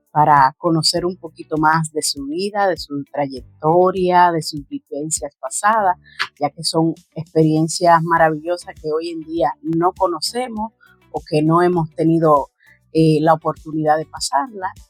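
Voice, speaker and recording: Music plays in the background. A woman talks with fairly even intonation. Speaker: family interviewer. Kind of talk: video introduction to camera.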